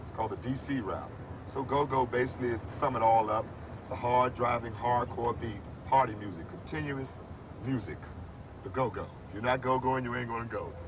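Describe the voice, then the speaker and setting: Using an unremarkable speaking voice, a man talks at a fairly quick pace with a medium pitch, fairly even intonation and big swings in loudness. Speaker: radio personality and musician. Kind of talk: documentary interview answer. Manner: casual, conversational.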